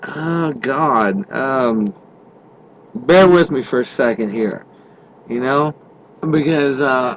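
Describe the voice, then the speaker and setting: A man at a medium pitch talks very slowly with lively intonation and long, frequent pauses. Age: 50s. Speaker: truck driver podcaster. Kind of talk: casual monologue. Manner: halting, many fillers; unscripted off the cuff.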